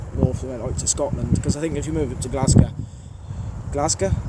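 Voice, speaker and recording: A man with a strong Birmingham accent speaks at a fairly high pitch amid noticeable background noise. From Birmingham, England. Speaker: train spotter YouTuber. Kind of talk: casual Q&A monologue. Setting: outdoors at a railway station.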